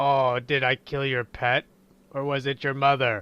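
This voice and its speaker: Against a quiet background, a man in a put-on character voice talks at a moderate pace and medium pitch with monotone, flat intonation. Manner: taunting, cruel.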